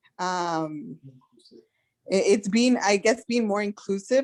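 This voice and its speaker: A woman talks at a very slow pace with a Spanish accent. Her pitch sits in the medium range and varies in an ordinary way. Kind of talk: community meeting discussion.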